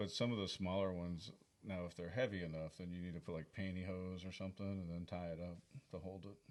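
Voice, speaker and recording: A man talks at a very fast pace. His voice is very deep and low, with monotone, flat intonation. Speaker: podcast co-host, gardener. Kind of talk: casual chat.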